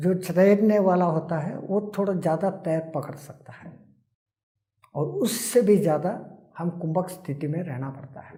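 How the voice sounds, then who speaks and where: The speaker is a man with a high-pitched voice. His loudness swings widely. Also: ordinary pitch variation. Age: 80s+. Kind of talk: interview answer.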